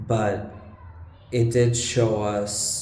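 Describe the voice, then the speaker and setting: Over noticeable background noise and audible room echo, a man talks with a non-native accent. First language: not English. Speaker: vlogger. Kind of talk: casual vlog monologue. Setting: room with bad acoustics. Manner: halting. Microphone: low-quality recording, echoey room.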